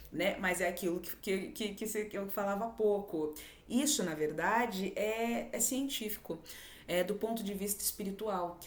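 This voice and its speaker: A woman speaks at a medium pitch with ordinary pitch variation and a moderate pace. Audible echo fills the room. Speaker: spiritual video host. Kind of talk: spiritual monologue. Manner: halting, stumbles over words.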